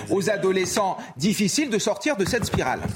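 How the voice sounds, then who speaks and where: A man talks at a moderate pace with a high pitch and very wide pitch swings. Noticeable background noise is present. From France, Ardennes. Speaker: teacher and TV pundit. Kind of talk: TV panel debate.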